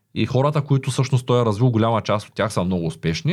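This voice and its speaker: The recording is very clean, with a silent background. A man talks fairly quickly in a plain, everyday voice, with ordinary pitch variation. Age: 30s. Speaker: entrepreneur. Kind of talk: interview.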